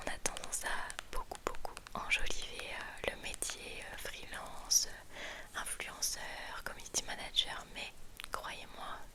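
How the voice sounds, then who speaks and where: Whispering at a very slow pace with big swings in loudness, a woman is heard over noticeable background noise. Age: 30s. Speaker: ASMR content creator. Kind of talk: ASMR whispered chat. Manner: whispered, soft, slow, intimate.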